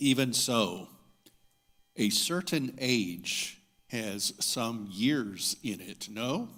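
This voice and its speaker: With a bright, sharp tone, a man speaks at a very slow pace using lively intonation. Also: medium pitch for a man. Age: 60s. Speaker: minister. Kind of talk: sermon. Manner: formal.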